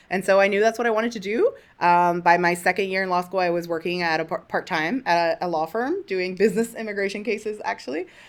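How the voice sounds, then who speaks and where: Over a silent background in a very clean recording, a woman talks at a very fast pace with hardly any pauses. Her pitch is medium, with ordinary variation. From Miami, Florida (Cuban American). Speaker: immigration lawyer, podcast co-host. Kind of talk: casual chat. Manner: animated.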